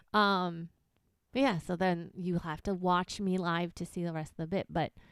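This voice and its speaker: In a very clean recording with a silent background, a woman with a Chicago accent speaks at a moderate pace and fairly low pitch. Her intonation stays fairly even, and the sound is dry and close with no echo. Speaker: podcast co-host and stand-up comedian. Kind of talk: casual chat.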